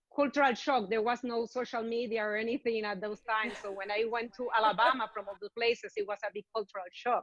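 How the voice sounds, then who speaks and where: Speaking very fast in a Puerto Rican accent, a woman keeps a fairly high pitch and fairly even intonation. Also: hardly any pauses. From Puerto Rico. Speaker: veterinarian. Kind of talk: interview.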